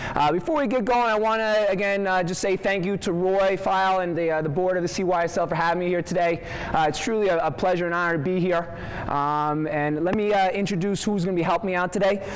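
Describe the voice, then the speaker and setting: Speaking at a very fast pace in a Long Island accent, a man with a high pitch keeps his loudness very even and his intonation fairly even over noticeable background noise. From Long Island, New York. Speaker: soccer coach. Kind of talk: coaching clinic demonstration. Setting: workshop with live audience.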